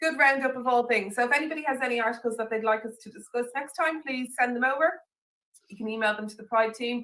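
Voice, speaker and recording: A woman speaks very fast at a high pitch, with ordinary pitch variation and a bright, sharp tone. Her loudness swings widely. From Ireland, Dublin. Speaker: podcast co-host. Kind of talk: casual chat.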